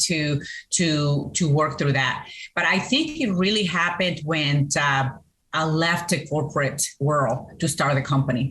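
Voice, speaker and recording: A woman's very deep, low voice with a Colombian accent, ordinary pitch variation, very even loudness and a fairly slow pace, with audible room echo. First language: Spanish. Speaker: business owner, CEO and Navy veteran. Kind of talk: interview. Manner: hesitant, many fillers.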